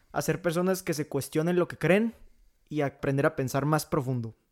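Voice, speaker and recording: Pitched fairly high, a man speaks in a plain, everyday voice with ordinary pitch variation. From Mexico, Coahuila. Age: 18. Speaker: podcast co-host. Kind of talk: casual chat; podcast intro.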